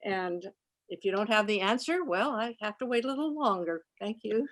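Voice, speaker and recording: With an ordinary speaking voice, a woman talks at a moderate pace, her pitch fairly high and her intonation lively. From Alameda, California (US West Coast). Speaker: audience member. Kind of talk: audience question.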